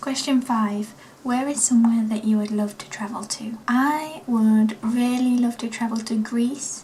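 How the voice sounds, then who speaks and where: Noticeable background noise runs through the clip. The woman's intonation stays fairly even. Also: fairly high pitch for a woman, fairly slow pace. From East Midlands of England (Nottingham). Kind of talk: casual vlog chat.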